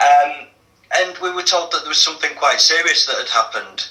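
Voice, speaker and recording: A man with a Yorkshire accent speaks over noticeable background noise. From northern England, Leeds. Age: 40s. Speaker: activist guest. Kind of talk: interview testimony. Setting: radio show. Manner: hesitant, many fillers.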